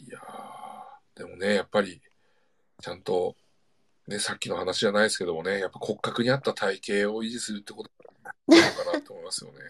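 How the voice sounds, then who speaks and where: A man races along at a very fast pace, broken by long, frequent pauses, with big swings in loudness. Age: 40s. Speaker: podcast host and talent agency president. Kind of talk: casual chat; reading aloud.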